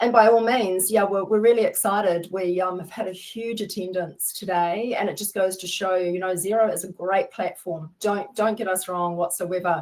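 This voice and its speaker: With a New Zealand accent, a woman talks at a moderate pace with hardly any pauses, medium pitch and big swings in loudness, over noticeable background noise. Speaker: webinar host, software consultant. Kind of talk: business webinar. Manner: animated.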